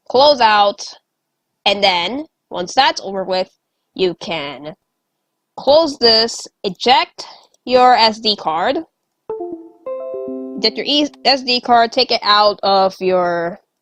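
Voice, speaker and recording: A woman speaks with a fairly high pitch and very wide pitch swings. Music plays in the background. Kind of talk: casual tutorial talk. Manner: casual, swears often.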